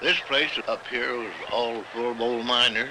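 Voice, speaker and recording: Noticeable noise sits behind the recording. This man talks fairly slowly. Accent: rural Western US. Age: 70s. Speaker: old miner. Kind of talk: documentary interview.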